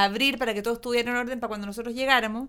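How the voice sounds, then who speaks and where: With a Chilean accent, a woman talks at a high pitch, her intonation fairly even. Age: 40s. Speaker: actress. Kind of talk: casual interview. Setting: studio.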